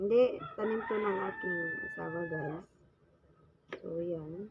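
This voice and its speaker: Against noticeable background noise, a woman speaks at a very slow pace with lively intonation. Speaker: vlogger. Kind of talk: cooking tutorial. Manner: casual, chatty.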